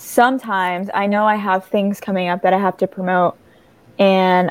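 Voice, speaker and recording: At a moderate pace, a woman talks with an American accent in a plain, everyday voice. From small-town US, half Mexican. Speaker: singer-songwriter. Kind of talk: interview.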